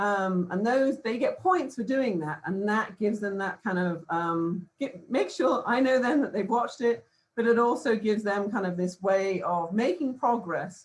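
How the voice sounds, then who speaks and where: Speaking with a British accent, a woman with a fairly high, somewhat breathy voice moves at a moderate pace with lively intonation and hardly any pauses. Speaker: professor. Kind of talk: conference presentation. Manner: hesitant, many fillers.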